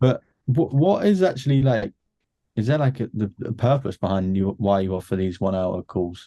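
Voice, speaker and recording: With a British accent, a man speaks at a moderate pace in a medium-pitched, dark and mellow voice with lively intonation, the sound dry and close with no echo. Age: 20s. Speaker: marketing agency owner. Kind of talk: casual chat. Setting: video call.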